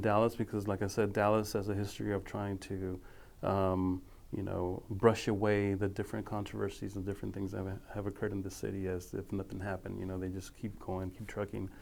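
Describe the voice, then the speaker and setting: In an ordinary speaking voice, a man talks at a fairly quick pace and a fairly low pitch. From Dallas, Texas. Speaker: history professor. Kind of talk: oral history interview answer.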